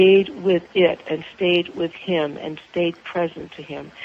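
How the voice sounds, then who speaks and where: Over noticeable background noise, the voice moves at a fairly slow pace with monotone, flat intonation. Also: woman. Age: 60s. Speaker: author and spiritual counselor, clergy. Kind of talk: interview conversation. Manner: halting, with repetitions.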